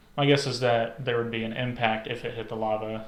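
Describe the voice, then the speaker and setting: The voice is monotone and flat at a fairly quick pace, with audible room echo. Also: man. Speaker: podcast co-host. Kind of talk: casual chat. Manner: halting.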